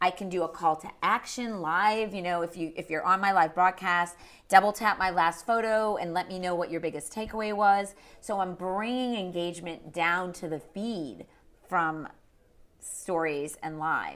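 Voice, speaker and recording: With a Boston accent, a woman speaks at a moderate pace and medium pitch, her pitch varying in an ordinary way. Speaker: social media marketing expert. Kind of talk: interview. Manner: animated.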